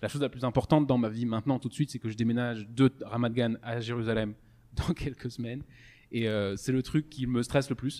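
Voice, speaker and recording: A man with a medium pitch speaks at a fairly quick pace, keeping his intonation fairly even. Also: very clean recording, silent background. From France, Strasbourg (Alsace). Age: 20s. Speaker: podcast host, engineer. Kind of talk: casual chat. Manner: halting, many fillers and repetitions.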